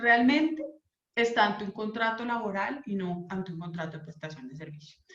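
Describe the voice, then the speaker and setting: Audible room echo surrounds a woman whose fairly high voice has lively intonation. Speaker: labor lawyer. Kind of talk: legal talk / online lecture.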